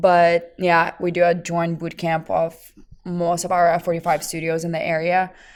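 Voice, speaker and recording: At a moderate pace, a woman with a fairly low pitch speaks in a monotone, flat intonation on a very clean recording with a silent background. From Lithuania. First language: Lithuanian. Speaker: fitness trainer. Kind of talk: casual chat.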